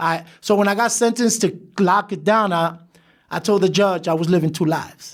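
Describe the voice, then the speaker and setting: A man talks at a moderate pace. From New York City (Brooklyn). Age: 50s. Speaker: former gang leader turned community leader. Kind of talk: interview.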